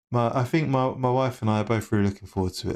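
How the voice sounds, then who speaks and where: A man with a London accent and ordinary pitch variation, on a very clean recording against a silent background. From England, East London. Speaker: sim racing streamer. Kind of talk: casual chat. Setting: live stream.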